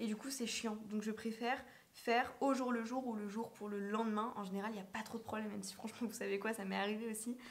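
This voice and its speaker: A woman at a fairly high pitch, very fast and monotone, flat in intonation, over noticeable background noise. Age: 20s. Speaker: vlogger and business coach. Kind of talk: casual vlog talk to camera. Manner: hesitant, many fillers.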